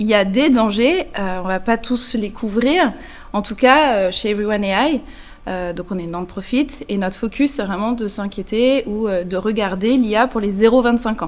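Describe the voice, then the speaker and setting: At a fairly slow pace, a woman talks in a fairly high voice. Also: ordinary pitch variation. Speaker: nonprofit executive director. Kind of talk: interview. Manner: hesitant, many fillers.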